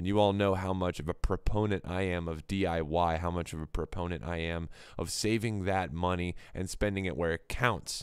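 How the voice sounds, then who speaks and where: A man's very deep, low voice at a moderate pace, in a very clean recording with a silent background. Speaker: music vlogger and live-stream host. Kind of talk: casual live stream chat reviewing submitted music. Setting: live stream. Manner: loud; casual with many fillers.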